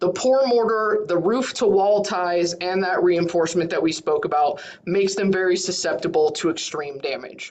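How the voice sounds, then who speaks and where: Moderate pace amid noticeable background noise. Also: woman, medium pitch for a woman, ordinary pitch variation, hardly any pauses. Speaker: county emergency management coordinator. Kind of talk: presentation in online meeting.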